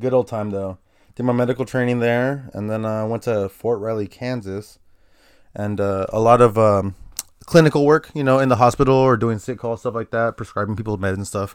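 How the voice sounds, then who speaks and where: On a very clean recording with a silent background, a man with an American accent and a normal speaking voice talks at a fairly quick pace, medium in pitch, with fairly even intonation. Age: 30s. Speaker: guest. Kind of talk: casual chat. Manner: casual.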